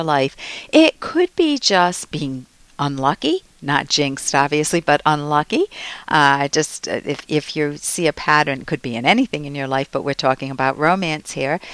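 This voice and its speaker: This woman's pitch is very deep and low, with ordinary variation. She speaks at a moderate pace, and the sound is dry and close with no echo. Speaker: advice show host, psychologist. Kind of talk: advice talk answering listener questions. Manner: confident.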